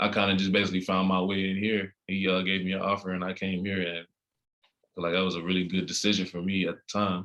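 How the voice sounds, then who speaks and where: A man's very deep, low voice with an American accent, bright and sharp in tone, monotone and flat, at a very fast pace. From Texas, Dallas. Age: 20s. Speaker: college basketball player. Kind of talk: interview. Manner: hesitant, many fillers.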